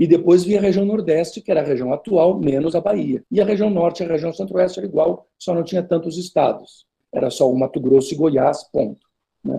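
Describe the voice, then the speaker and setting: Fairly quick in pace, a man talks at a high pitch. His tone is dark and mellow. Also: ordinary pitch variation. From southern Brazil. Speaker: history professor. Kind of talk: interview. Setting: video call.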